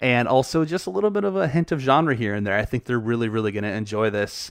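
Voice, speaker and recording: The background is quiet. A man with a medium pitch uses an ordinary speaking voice with ordinary pitch variation. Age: 30s. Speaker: podcast host, film reviewer. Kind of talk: solo podcast monologue, film review. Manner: casual, many filler words.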